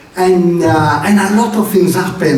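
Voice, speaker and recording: Against noticeable background noise and audible room echo, a man talks with an Italian accent. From Italy, Venetian region. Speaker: preacher. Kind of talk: sermon. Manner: halting, with many fillers and restarts.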